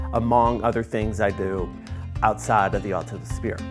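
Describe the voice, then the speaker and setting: Ordinary pitch variation over music in the background. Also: man. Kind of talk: interview answer.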